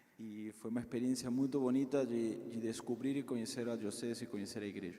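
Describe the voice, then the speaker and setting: A man with a Peruvian accent speaks fairly quickly at a medium pitch, his dark, mellow tone monotone and flat, with audible room echo. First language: Spanish (speaking Portuguese). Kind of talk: talk to parish group. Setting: parish hall, in person and streamed.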